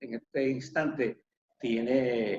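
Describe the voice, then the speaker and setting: Intonation stays fairly even as this man speaks. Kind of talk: interview host questions.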